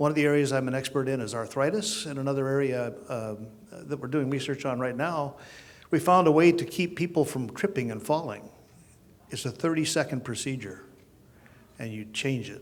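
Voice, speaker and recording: A man with a plain, everyday voice talks at a moderate pace, his pitch fairly high and its variation ordinary. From Oklahoma. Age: 60s. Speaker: chiropractor. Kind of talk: panel introduction.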